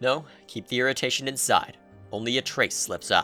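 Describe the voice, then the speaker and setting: A man's voice with music in the background. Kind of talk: dramatic narration, second person. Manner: dramatic, expressive.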